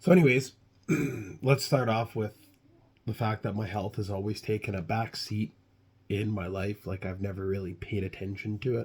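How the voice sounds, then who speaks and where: With long, frequent pauses, a man speaks at a moderate pace and a fairly low pitch, somewhat breathy, with ordinary pitch variation, on a very clean recording with a silent background. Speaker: health vlogger. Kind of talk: casual vlog monologue. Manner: hesitant, many fillers.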